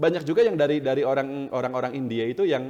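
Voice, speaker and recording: Talking very fast, a man with a fairly high pitch and a dark, mellow tone shows ordinary pitch variation. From Indonesia. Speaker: stock investor and webinar presenter. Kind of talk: storytelling in a webinar. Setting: webinar. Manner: casual and animated.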